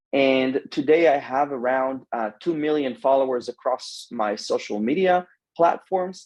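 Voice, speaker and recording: A man with an Israeli accent and a fairly high pitch talks at a fairly slow pace. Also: ordinary pitch variation. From Israel (Samaria). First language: Hebrew. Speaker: social media adviser. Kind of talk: interview. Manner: halting.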